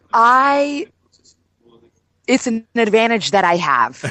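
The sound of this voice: A woman with an American accent, fairly high pitch, big pitch swings, a bright, sharp tone and a slow pace.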